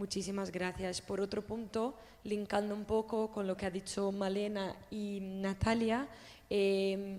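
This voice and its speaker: A woman with a Portuguese accent speaks very slowly in a monotone, flat delivery, her medium-pitched voice dark and mellow in tone. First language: Portuguese (speaking Spanish). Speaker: audience member asking a question. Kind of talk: question at a public talk.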